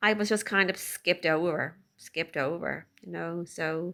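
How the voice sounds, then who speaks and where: A woman with an Irish accent speaks at a fairly slow pace in a fairly low pitch, with ordinary pitch variation and a bright, sharp tone. The recording is very clean, with a silent background. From Ireland (Dublin). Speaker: person who stutters, fluency coach. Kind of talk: personal testimony. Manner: slight disfluencies, deliberate stuttering.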